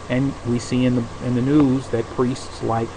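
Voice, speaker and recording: Over noticeable background noise and audible room echo, a man with an American accent speaks at a medium pitch. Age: 50s. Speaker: podcaster. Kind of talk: casual monologue. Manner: halting.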